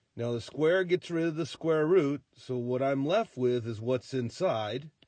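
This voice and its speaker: A man speaks with an unremarkable speaking voice at a fairly slow pace. The sound is dry and close, with no echo. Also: fairly high pitch for a man, ordinary pitch variation. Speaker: high school math teacher. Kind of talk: tutorial.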